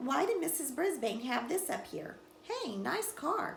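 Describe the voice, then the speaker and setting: A woman's put-on character voice, squeaky and extremely high-pitched, with very wide pitch swings at a moderate pace over clear background noise. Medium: read story.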